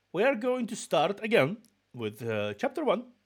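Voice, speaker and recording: A man talks with a slight Russian accent and ordinary pitch variation. The recording is very clean, with a silent background. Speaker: VTuber streamer. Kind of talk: casual chat. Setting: live stream.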